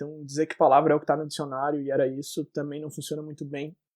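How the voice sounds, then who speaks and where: A man's very fast voice, fairly high in pitch, with a dark, mellow tone. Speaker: podcast co-host. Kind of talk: casual chat. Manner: swallows words.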